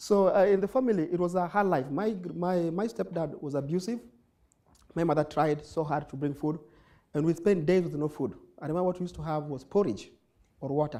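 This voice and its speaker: Here a man speaks with a high pitch at a fairly quick pace. His pitch varies in an ordinary way. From Kenya, Nairobi (Kibera). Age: 20s. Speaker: nonprofit founder, social entrepreneur. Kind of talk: conference talk. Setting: stage with audience. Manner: fast.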